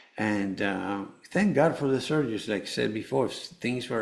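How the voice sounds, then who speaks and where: A man with a Spanish accent talks at a moderate pace. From Venezuela, Caracas. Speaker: cancer survivor and author. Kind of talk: interview testimony. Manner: halting, many fillers.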